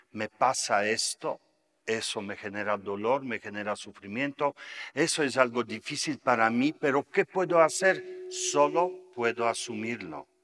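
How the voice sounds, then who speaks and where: Against music in the background, the speech moves at a fairly slow pace with lively intonation in a dry, close sound with no echo. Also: man, medium pitch for a man. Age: 60s. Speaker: Buddhist meditation teacher. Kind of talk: lecture.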